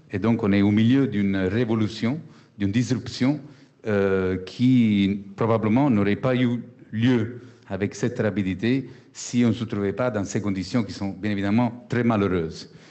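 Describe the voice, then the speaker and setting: A man with a slight Italian accent, fairly low pitch, fairly even intonation and a fairly slow pace. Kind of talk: panel discussion.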